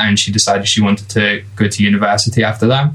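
A man in an English Midlands accent, fairly low and monotone, under noticeable background noise. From England. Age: 20s. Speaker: product designer. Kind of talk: casual chat.

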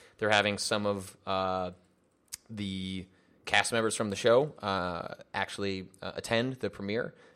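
Using a normal speaking voice, a man talks fairly slowly, his pitch fairly low and his intonation fairly even. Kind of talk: casual chat.

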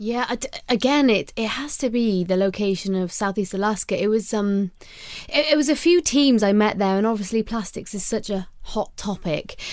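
At a moderate pace, a woman with a Welsh accent speaks at a fairly high pitch with ordinary pitch variation in a very clean recording with a silent background. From Wales. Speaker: podcast co-host and conservation campaigner. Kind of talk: casual chat.

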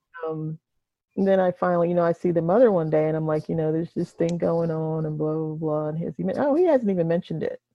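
With music in the background, a woman in an American accent speaks at a very fast pace, with a fairly low pitch and fairly even intonation. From Delaware / Maryland Eastern Shore. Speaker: retired teacher. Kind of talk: casual interview.

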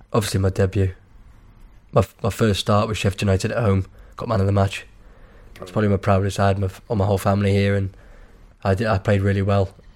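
Long, frequent pauses break up a man's very fast speech. His fairly low voice stays monotone and flat. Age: 20s. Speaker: footballer. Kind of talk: casual chat.

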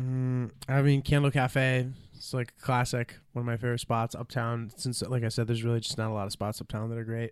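The recording is very clean, with a silent background. A man speaks at a fairly quick pace and medium pitch, his intonation monotone and flat. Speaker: stand-up comedian. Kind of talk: casual chat.

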